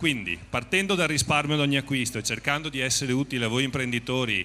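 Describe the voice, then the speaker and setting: A man with a Venetian accent speaks in a bright, sharp tone with ordinary pitch variation. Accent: Venetian (Treviso). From Veneto, northern Italy (Treviso); Veneto. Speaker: company representative. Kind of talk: on-stage interview / promotional talk. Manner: improvised, slightly halting. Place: stage. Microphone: handheld.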